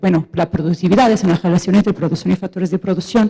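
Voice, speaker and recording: A woman speaks at a medium pitch in a dark, mellow tone with ordinary pitch variation. The sound is dry and close with no echo. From Portugal. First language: Portuguese (speaking Spanish). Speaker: audience member asking questions, economist. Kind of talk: question from audience at panel debate. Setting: auditorium with audience. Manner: halting, with fillers and self-corrections.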